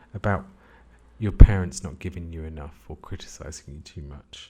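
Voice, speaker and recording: A man speaks at a moderate pace in a dark, mellow, somewhat breathy tone. He leaves long, frequent pauses. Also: big swings in loudness. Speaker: CBT therapist. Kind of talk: educational podcast talk.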